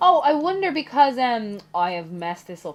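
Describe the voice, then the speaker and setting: A woman with a Dublin accent speaks at a moderate pace, her pitch swinging very widely. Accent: Dublin Irish. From Ireland, Dublin. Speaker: gaming YouTuber. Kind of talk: casual chat during let's play. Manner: animated.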